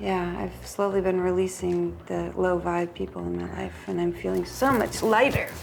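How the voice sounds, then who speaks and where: Amid noticeable background noise and audible room echo, a woman with an American accent talks at a moderate pace with hardly any pauses. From Los Angeles, California. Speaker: model and actress on a dating show. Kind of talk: casual chat. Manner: animated.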